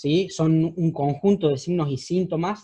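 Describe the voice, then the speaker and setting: Pitch in this man's voice varies in an ordinary way. The tone is dark and mellow. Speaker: surgeon teaching residents. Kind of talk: lecture. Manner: fast.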